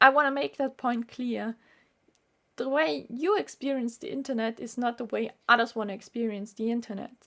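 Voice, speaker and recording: A woman speaks in a high pitch with a bright, sharp tone, lively intonation and big swings in loudness. The recording is very clean, with a silent background. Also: moderate pace. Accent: German. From Austria. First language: German. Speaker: YouTuber, medical student. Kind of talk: vlog monologue.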